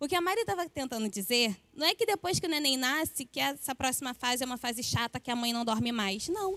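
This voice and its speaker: A woman talks very fast at a high pitch, with very wide pitch swings and hardly any pauses. Her tone is bright and sharp, and the sound is dry and close with no echo. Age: 20s. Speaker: church member giving testimony. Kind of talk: testimony.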